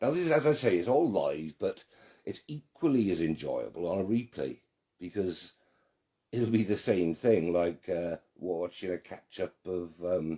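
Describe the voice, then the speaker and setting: A man speaks with a very deep, low pitch and a Welsh accent. His pace is fairly slow. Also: lively intonation. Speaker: online group admin and quiz host. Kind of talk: live quiz hosting. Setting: live stream. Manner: slightly slurred speech from strokes.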